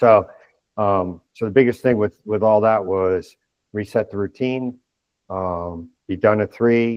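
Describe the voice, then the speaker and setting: At a fairly slow pace and with fairly even intonation, this is a normal speaking voice. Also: man, fairly low pitch for a man. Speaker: retired army general. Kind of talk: interview.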